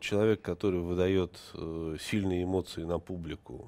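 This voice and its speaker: A man speaks with a very deep, low pitch. His tone is dark and mellow. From Moscow, Russia; Russia. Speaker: TV journalist. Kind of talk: interview. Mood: subdued, mourning. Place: studio. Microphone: lapel.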